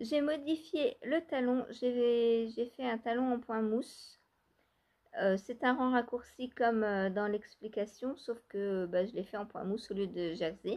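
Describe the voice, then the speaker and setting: Speaking very slowly, this woman has a fairly high pitch that varies in an ordinary way. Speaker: knitting vlogger. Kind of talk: casual vlog talk. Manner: soft-spoken; hesitant, many fillers.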